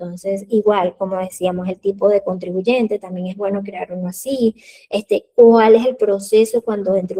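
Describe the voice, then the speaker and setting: A woman's medium-pitched voice, dark and mellow in tone, flat and monotone, with a dry, close sound and no echo. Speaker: accountant teaching an online class. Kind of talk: live online class. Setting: live video stream with chat.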